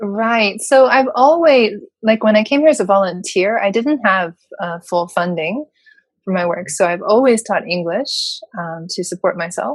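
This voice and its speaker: In a normal speaking voice, a woman talks at a moderate pace. Her fairly high pitch rises and falls with lively intonation. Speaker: voice-over announcer and singer-songwriter. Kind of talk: interview answer. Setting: home studio.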